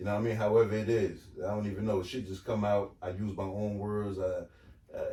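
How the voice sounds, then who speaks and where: Amid noticeable background noise, a man with an American accent talks very fast in a fairly low, monotone, flat voice. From Asbury Park area, New Jersey. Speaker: podcast host. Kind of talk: casual chat.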